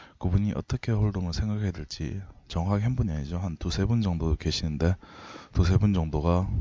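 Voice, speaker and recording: This man has a strong Gyeongsang accent and a very deep, low pitch. He talks at a moderate pace with ordinary pitch variation. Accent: strong Gyeongsang dialect intonation. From Daegu, South Korea (Gyeongsang region). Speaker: poker coach. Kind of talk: lecture.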